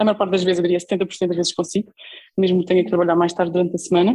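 A woman's voice at medium pitch. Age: 20s. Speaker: humanitarian worker. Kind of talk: casual interview. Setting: online call.

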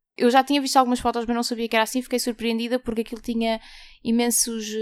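In a flat monotone, a woman speaks at a very fast pace. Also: dry, close sound with no echo. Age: 20s. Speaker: journalist. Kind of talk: interview.

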